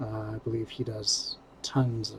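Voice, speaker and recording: A man speaks with a fairly low pitch and a somewhat breathy voice. His intonation is monotone and flat. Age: 50s. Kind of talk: casual reaction commentary. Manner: hesitant, halting.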